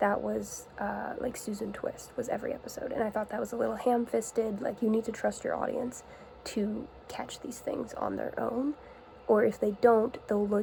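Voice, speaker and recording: A woman is speaking at a moderate pace. She is soft-spoken. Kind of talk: soft-spoken ASMR-style rambling talk to camera. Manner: soft-spoken, casual.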